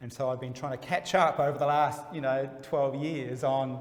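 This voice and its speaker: With audible room echo, a man talks at a fairly high pitch and a moderate pace. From Australia (Melbourne). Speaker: gallery dealer. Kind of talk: interview.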